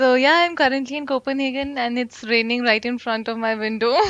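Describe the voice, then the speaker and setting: With an Indian accent, a woman speaks at a high pitch with fairly even intonation. Noticeable background noise can be heard. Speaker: blockchain developer with insurance background. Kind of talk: casual interview chat.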